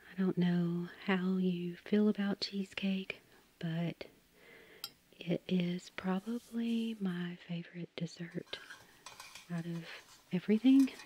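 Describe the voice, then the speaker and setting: Soft-spoken and relaxed, a woman talks very slowly with fairly even intonation and long, frequent pauses, the sound dry with no echo over light background noise. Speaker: home baker. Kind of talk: soft-spoken ASMR baking narration. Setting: home kitchen with microphone. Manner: soft-spoken, relaxed.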